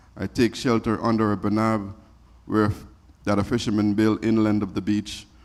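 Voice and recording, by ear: A natural voice, reading aloud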